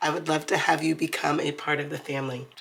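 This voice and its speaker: A woman speaks over noticeable background noise. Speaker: budgeting vlogger. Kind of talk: tutorial. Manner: casual.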